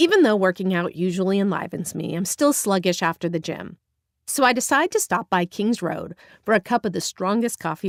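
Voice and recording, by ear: Reading aloud in a natural voice, lively intonation, quiet background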